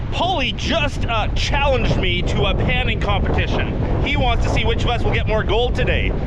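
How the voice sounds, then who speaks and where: Heard with audible room echo and noticeable background noise, a man speaks at a moderate pace with very even loudness. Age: 50s. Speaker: gold prospector, video host. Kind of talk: casual vlog narration. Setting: outdoors at a river. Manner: chatty, talkative.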